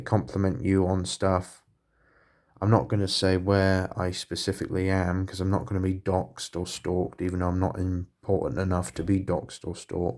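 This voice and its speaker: With a Southern English accent, a man talks at a very deep, low pitch and a moderate pace. His intonation is fairly even, and the recording is very clean with a silent background. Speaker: hobbyist miniature painter. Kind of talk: casual vlog. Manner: audible breathing; halting.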